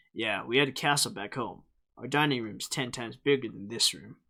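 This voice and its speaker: Using a put-on character voice, a man speaks at a medium pitch and a fairly quick pace with big swings in loudness, on a very clean recording with a silent background. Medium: read story. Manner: loud, brash.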